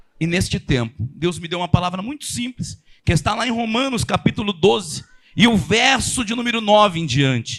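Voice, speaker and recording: With noticeable background noise behind him, a high-pitched man speaks in an animated tone with very wide pitch swings. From São Paulo, Brazil. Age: 50s. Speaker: pastor. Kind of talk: sermon. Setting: church. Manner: fast.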